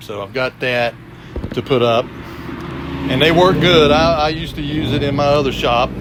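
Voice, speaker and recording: Against noticeable background noise, a man talks at a moderate pace with a fairly high pitch and ordinary pitch variation. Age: 60s. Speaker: shop owner and former industrial electrician. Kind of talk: casual video walkthrough. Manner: halting, many fillers and repeats.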